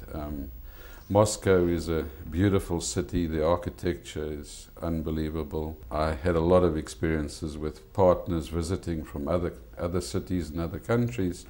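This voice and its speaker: A man with a South African accent speaks at a moderate pace in a very deep, low pitch. His tone is dark and mellow, with ordinary pitch variation and some vocal fry. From South Africa, Eastern Cape (East London). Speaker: restaurant owner. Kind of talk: TV interview.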